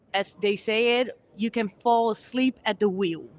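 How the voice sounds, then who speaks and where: Speaking with a Dutch accent, a woman goes at a fairly slow pace with fairly even intonation on a very clean recording with a silent background. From Netherlands. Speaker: conference speaker. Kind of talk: interview. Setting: conference.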